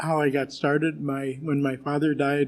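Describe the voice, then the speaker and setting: A man's fairly high voice, moderate in pace, with monotone, flat intonation. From Alaska. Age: 70s. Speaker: war veteran testifying at a congressional hearing. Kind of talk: testimony. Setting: congressional hearing room or online hearing. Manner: halting, many fillers.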